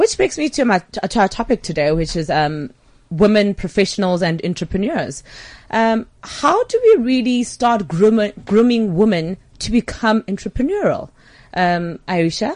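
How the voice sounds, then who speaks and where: A woman with a fairly high pitch speaks at a moderate pace. Her intonation is lively. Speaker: guest radio host. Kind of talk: casual radio chat. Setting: studio. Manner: animated, warm.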